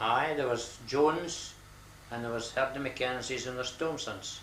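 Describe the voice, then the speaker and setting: Through noticeable background noise, a man in a northeast Scottish accent speaks at a medium pitch with fairly even intonation. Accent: north-east Scottish. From Buckie, north-east Scotland. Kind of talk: interview answer.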